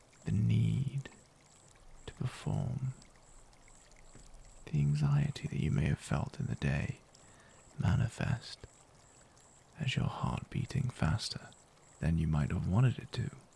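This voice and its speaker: Against noticeable background noise, a man with a fairly low voice speaks calmly at a fairly slow pace, with very wide pitch swings and long, frequent pauses. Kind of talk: guided meditation with affirmations. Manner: slow, calm.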